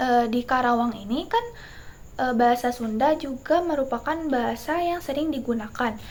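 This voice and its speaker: A woman with a high-pitched voice speaks with ordinary pitch variation over noticeable background noise. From Indonesia, West Java (Bogor, Sundanese family). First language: Sundanese (speaking Indonesian). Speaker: university student. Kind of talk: class presentation. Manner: hesitant, many fillers.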